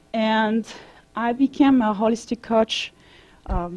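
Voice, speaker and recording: A woman speaks in a French accent with a dark, mellow tone and a fairly high pitch. The sound is dry and close, with no echo. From France. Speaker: vegan advocate and holistic coach. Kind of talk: presentation to an audience.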